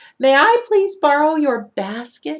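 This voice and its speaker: A woman does a put-on character voice pitched high. She delivers it at a fairly slow pace. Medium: read story. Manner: polite, soft-spoken.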